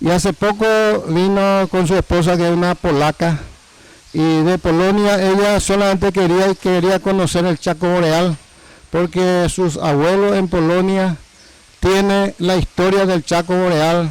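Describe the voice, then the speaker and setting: The delivery is monotone and flat, fairly slow, and very even in loudness. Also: man, high pitch for a man. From Paraguay, Villa Hayes. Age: 70s. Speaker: former mayor and governor. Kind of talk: interview testimony.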